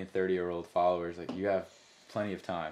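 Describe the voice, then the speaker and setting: Here a man talks at a very fast pace. His intonation is monotone and flat. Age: 20s. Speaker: fitness coach. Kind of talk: casual chat. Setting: studio.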